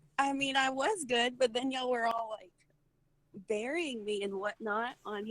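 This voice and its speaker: A high-pitched woman with a Texan accent, moderate pace, ordinary pitch variation and big swings in loudness. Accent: Southern US, Texan. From Texas. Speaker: gaming voice chat participant.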